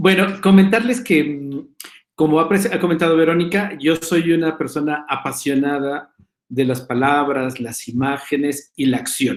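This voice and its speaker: A man speaks at a fairly slow pace. His pitch sits fairly high. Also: ordinary pitch variation. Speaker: professor. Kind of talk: panel talk. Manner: hesitant fillers.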